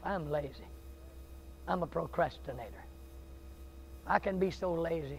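A man with a Southern US accent and an animated, passionate tone, with long, frequent pauses over light background noise. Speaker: Baptist preacher. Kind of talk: sermon, revival-style preaching with folksy humor early on. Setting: church with live congregation. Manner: animated, passionate, fervent, building to intense pleading; conversational, joking, self-deprecating, with audience interaction. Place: church.

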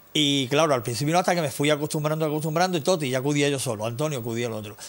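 Delivered at a very fast pace, the speech shows ordinary pitch variation. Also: man. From Andalusia, Ronda; Andalusia. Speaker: musician; TV interview guest. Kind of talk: interview. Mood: nostalgic storytelling. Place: studio.

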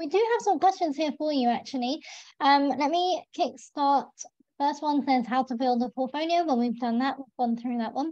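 Against a quiet background, a woman with a high, dark, mellow voice speaks at a moderate pace with ordinary pitch variation, the sound dry with no echo. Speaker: webinar host. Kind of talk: webinar moderation. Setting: video call. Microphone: video call.

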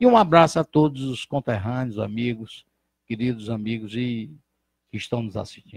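With a quiet background and a dry sound with no echo, a man speaks at a moderate pace, his loudness swinging widely while his pitch varies in an ordinary way. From Brazil, Ceará (Santana do Acaraú); Ceará, Brazil. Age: 60s. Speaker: physician and former politician; former politician. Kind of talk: interview. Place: studio. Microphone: handheld.

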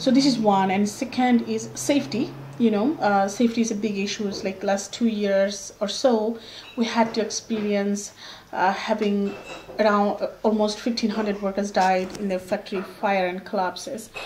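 A woman with a Bengali accent speaks at a medium pitch with fairly even intonation. Light background noise is present. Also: moderate pace. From Bangladesh. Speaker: workers' rights activist. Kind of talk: interview. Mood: earnest, persuasive. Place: home room.

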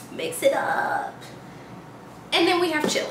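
A woman talks at an average speed while background noise is clearly heard. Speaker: vlogger. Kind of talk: casual vlog chat.

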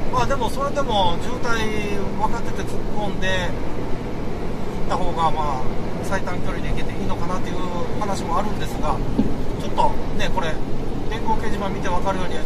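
Loud background noise fills the recording. Through it, a man speaks at a moderate pace. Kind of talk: casual driving commentary. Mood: relaxed, chatty. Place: car.

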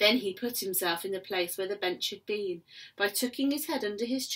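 Lively intonation marks an unforced reading voice.

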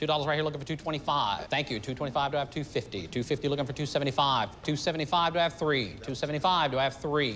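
Light background noise sits behind a man talking at a very fast pace. He has ordinary pitch variation and hardly any pauses. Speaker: host and announcer. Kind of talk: auction calling. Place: hall.

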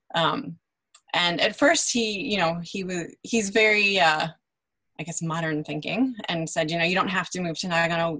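The tone is bright and sharp, and the pace is fairly quick. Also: woman. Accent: Chicago. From US Midwest, Chicago. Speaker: translator and interpreter. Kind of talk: panel interview.

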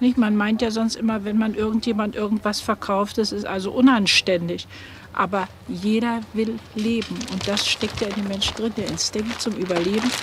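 Over noticeable background noise, a woman talks at a fairly high pitch in a monotone, flat intonation. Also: moderate pace, dry sound with no echo. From Germany. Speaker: acquaintance of the subject. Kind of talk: documentary interview. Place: shop.

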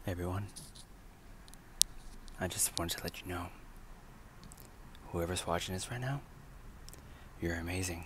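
Soft-spoken and very deep in pitch, a man pauses long and often, the sound dry with no echo amid noticeable background noise. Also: ordinary pitch variation. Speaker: vlogger. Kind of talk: ASMR affirmation talk to camera. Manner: encouraging. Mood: warm, upbeat, encouraging. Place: car. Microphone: earbuds.

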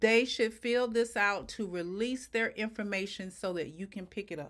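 A woman's voice with lively intonation at a moderate pace, against a quiet background. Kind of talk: tutorial. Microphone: webcam.

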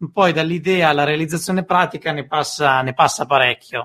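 The recording is very clean, with a silent background. An ordinary speaking voice carries lively intonation at a moderate pace. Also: man. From northern Italy, Como. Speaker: podcast host. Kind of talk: interview.

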